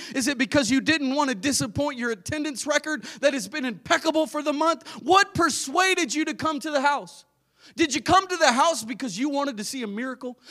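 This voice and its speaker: A man with an extremely high pitch speaks in a raised, projected voice at a fairly quick pace. His tone is animated, bright and sharp, with ordinary pitch variation. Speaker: preacher. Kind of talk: sermon. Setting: church. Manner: animated, excitable, loud, fervent preaching with amens.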